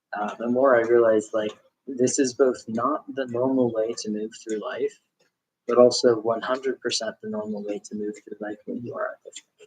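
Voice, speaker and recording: A man speaks in a relaxed tone at a moderate pace, with big swings in loudness, in a dry, close sound with no echo. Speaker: craft video creator, clinic receptionist. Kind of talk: casual chat while spinning wool. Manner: relaxed, many fillers.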